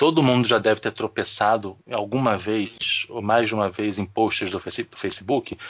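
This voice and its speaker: An unremarkable speaking voice comes from a man who talks at a fairly slow pace with fairly even intonation. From Rio de Janeiro. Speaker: podcast co-host. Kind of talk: casual chat.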